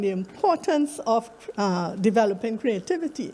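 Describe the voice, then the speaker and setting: At a moderate pace, a woman with a Trinidadian accent speaks in a dark, mellow tone at a fairly high pitch. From Trinidad and Tobago. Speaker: academic researcher. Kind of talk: conference presentation.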